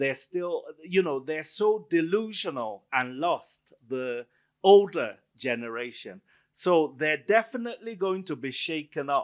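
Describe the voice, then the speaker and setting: The voice is loud, moving at a fairly slow pace with very wide pitch swings. The recording is very clean, with a silent background. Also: man, fairly high pitch for a man. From Nigeria. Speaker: author and academic. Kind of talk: book event Q&A.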